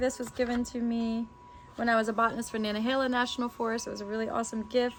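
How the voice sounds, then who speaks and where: A woman talks at a very fast pace in a fairly high voice. Noticeable background noise runs under her speech. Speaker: botanist and herbalism teacher. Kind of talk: tutorial. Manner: animated.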